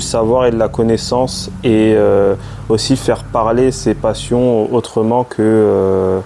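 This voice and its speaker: Over noticeable background noise, a man speaks very slowly in a fairly low pitch. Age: 20s. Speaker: vlogger and chemistry student. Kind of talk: casual vlog, room tour and self-introduction. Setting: at home in shared flat. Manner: hesitant, many fillers and repetitions.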